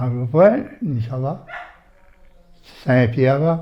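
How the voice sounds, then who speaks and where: A man speaks very slowly, and noticeable background noise can be heard behind him. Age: 80s+. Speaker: retired train driver. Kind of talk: interview answer.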